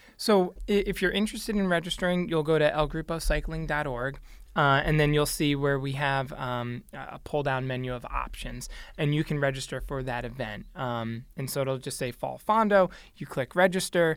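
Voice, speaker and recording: A man with an unremarkable speaking voice, moderate pace and ordinary pitch variation. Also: fairly high pitch for a man. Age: 30s. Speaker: youth cycling nonprofit leader. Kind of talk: radio interview.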